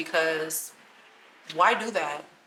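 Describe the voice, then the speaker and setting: The voice belongs to a woman with a fairly low pitch. Noticeable background noise runs underneath. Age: 20s. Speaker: lifestyle vlogger, first-time mother. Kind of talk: casual Q&A talk to camera.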